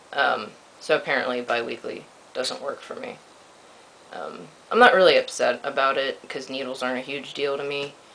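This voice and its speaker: A man's voice with big swings in loudness and long, frequent pauses, against noticeable background noise. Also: moderate pace. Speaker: vlogger. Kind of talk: video diary. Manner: hesitant, many ums.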